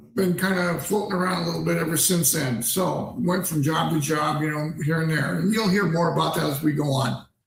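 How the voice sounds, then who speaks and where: Amid audible room echo, a man speaks at a high pitch with ordinary pitch variation. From Pennsylvania, US. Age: 60s. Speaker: ordained minister and streamer. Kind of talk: livestream monologue. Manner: halting, many fillers.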